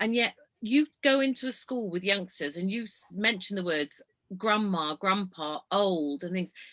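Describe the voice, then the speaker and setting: With a Yorkshire accent, a woman speaks at a medium pitch and a fairly slow pace. Her tone is animated, her intonation lively, and the sound dry and close with no echo. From Yorkshire, northern England (Leeds). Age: 60s. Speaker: motorhome traveller and ageism speaker. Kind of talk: casual chat.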